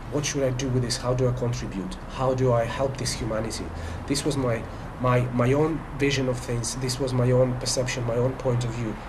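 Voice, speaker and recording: A man speaks at a fairly quick pace in a monotone, flat intonation. There is audible room echo and noticeable background noise. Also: medium pitch for a man. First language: Russian. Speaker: spiritual life coach. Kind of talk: monologue to camera. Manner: halting, many fillers and restarts.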